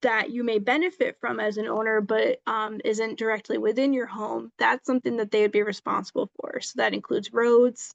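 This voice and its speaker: A woman talks at a fairly quick pace with hardly any pauses, in a dry, close sound with no echo. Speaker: legal presenter. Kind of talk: presentation on tenant rights. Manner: fast; halting with many ums.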